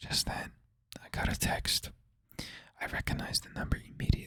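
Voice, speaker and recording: A whisper at a moderate pace. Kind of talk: horror story narration. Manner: whispered.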